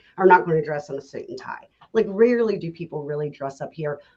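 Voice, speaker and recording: With a strong Southern accent, the speaker talks at a fairly quick pace with ordinary pitch variation. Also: woman. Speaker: realtor. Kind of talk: casual chat.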